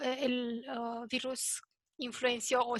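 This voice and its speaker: Speaking in a non-native accent, a woman uses a high pitch and monotone, flat intonation against a quiet background. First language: not Spanish (speaking Spanish). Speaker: panelist on elections. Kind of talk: presentation at a round table. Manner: halting, many fillers.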